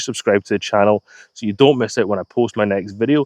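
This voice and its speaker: A man with a Scottish accent talks very fast in a fairly low voice, with a dry, close sound, no echo and a quiet background. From Scotland. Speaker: DIY YouTuber. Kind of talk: channel trailer to camera.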